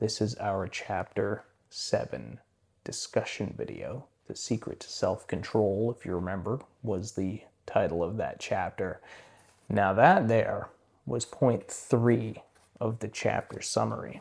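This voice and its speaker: On a very clean recording with a silent background, a man speaks at a fairly slow pace with big swings in loudness. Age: 30s. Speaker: book discussion youtuber. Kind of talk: casual monologue. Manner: slower, less hyped than usual.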